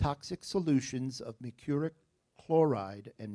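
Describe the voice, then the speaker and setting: In an American accent, a man speaks at a fairly slow pace with a dark, mellow tone and ordinary pitch variation, in a dry, close sound with no echo. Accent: New Jersey accent, noticeable at times. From New Jersey. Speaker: spelling bee pronouncer. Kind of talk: spelling bee word reading. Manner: clear, deliberate enunciation.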